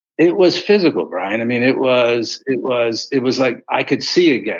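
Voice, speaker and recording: A man with an American accent, a normal speaking voice, a moderate pace and lively intonation. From Philadelphia, US. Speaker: author. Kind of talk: interview testimony.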